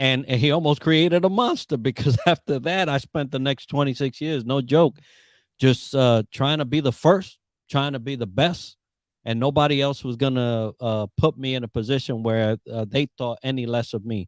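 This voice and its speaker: This man has a plain, everyday voice at a medium pitch, moving at a moderate pace with ordinary pitch variation. The recording is very clean, with a silent background. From Puerto Rico and the Bronx, New York. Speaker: Navy veteran and leadership coach. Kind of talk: podcast interview.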